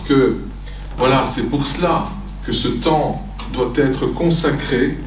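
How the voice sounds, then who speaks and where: Against audible room echo and noticeable background noise, a man speaks at a fairly high pitch and a very slow pace. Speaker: itinerant preacher and theology teacher. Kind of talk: sermon. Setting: church. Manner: halting, with many fillers.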